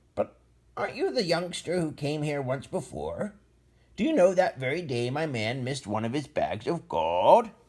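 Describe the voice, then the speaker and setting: Using a put-on character voice, a man speaks at a fairly high pitch in a very clean recording with a silent background. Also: moderate pace. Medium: read story.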